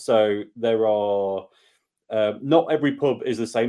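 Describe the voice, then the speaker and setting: Ordinary pitch variation marks the speech of a man with an English accent. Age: 30s. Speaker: beer and whiskey YouTuber. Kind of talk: casual chat. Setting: video call.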